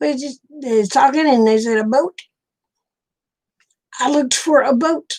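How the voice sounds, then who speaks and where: A woman with an Oklahoma accent speaks at a moderate pace, leaving long, frequent pauses. Her pitch is high, with ordinary pitch variation. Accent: Okie. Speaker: livestreamer. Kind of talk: casual chat.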